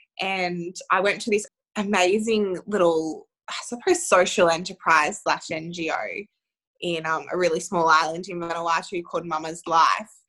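Speaking fairly slowly with an Australian accent, a woman has a fairly low pitch, a bright, sharp tone and fairly even intonation. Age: 20s. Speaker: women's health advocate. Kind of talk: interview.

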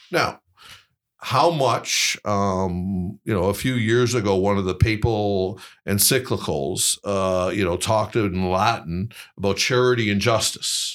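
A man with an ordinary speaking voice and a Canadian accent, fairly low in pitch with ordinary pitch variation, at a fairly slow pace on a very clean recording with a silent background. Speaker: think tank executive. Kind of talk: interview.

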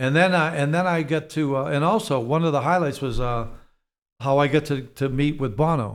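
Delivered at a fairly quick pace in a slight Boston accent, the speech keeps very even loudness and ordinary pitch variation. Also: man, fairly high pitch for a man. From Boston, US Northeast. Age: 70s. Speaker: real estate executive. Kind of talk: casual interview chat. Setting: studio.

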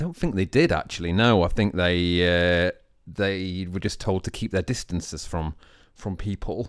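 In a very clean recording with a silent background, a man talks with a very deep, low pitch and fairly even intonation. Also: moderate pace. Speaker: podcast co-host, law graduate. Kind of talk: casual chat. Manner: emphatic intonation.

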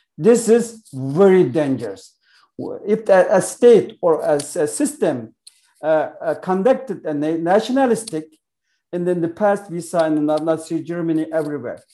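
Lively intonation and a dark, mellow tone with a Xinjiang accent. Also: man, high pitch for a man. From East Turkestan. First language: Uyghur. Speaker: author and activist. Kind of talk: interview. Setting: video call. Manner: halting.

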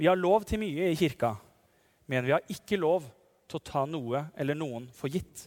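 A man's ordinary speaking voice, fairly high-pitched, at a moderate pace with lively intonation, on a very clean recording with a silent background. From Norway, Telemark (Nissedal). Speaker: parish priest. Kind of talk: sermon.

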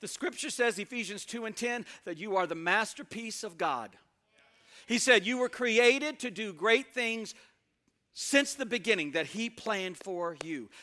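The voice is raised and projected, animated, bright and sharp, with lively intonation at a moderate pace. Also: man, high pitch for a man. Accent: Southern US. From US South, Mississippi. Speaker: guest preacher. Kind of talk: sermon. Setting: church.

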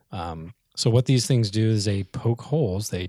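A dark, mellow, somewhat breathy voice with lively intonation, dry and close with no echo, on a very clean recording with a silent background. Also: man. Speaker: podcast co-host, rc airplane hobbyist. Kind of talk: casual chat. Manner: soft-spoken at times.

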